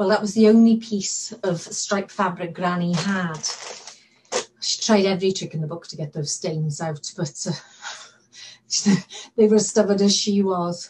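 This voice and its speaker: The pace is fairly slow as a woman talks. Intonation remains fairly even throughout. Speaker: actor. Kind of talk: dramatic monologue performance. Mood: warm, fond storytelling. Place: home room. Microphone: webcam.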